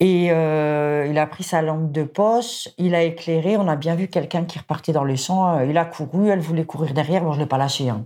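On a very clean recording with a silent background, a woman with a very deep, low pitch and a dark, mellow tone speaks at a fairly quick pace with fairly even intonation. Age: 50s. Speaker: service station worker and yellow vest activist. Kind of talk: interview testimony.

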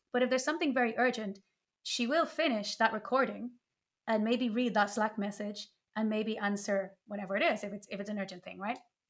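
This woman's voice is fairly high in pitch with ordinary variation. She talks at a fairly quick pace. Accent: Irish. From Ireland. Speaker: developer advocate. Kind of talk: casual chat. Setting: remote call.

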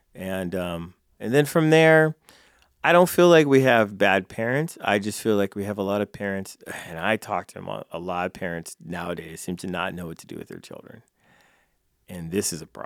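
A man with an American accent talks at a moderate pace in an ordinary speaking voice, fairly low in pitch, with lively intonation and big swings in loudness, recorded very cleanly, dry and close with no echo, against a silent background. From California. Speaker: jiu-jitsu instructor and nonprofit founder. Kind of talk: interview conversation. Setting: studio.

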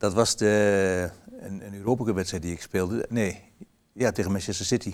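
In a plain, everyday voice, a man talks at a fairly slow pace with fairly low pitch and fairly even intonation. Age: 60s. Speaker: former goalkeeper. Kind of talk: interview.

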